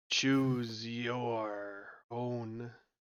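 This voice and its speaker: A man speaks in a put-on character voice. His pitch is medium and his delivery is flat and monotone. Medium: actual play. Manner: slow, formal.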